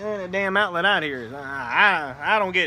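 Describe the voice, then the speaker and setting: A man's high-pitched voice with ordinary pitch variation, at a moderate pace, in a room with audible echo. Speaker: cigar and gaming vlogger, navy veteran. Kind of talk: casual chat. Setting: outdoors on apartment patio. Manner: loud.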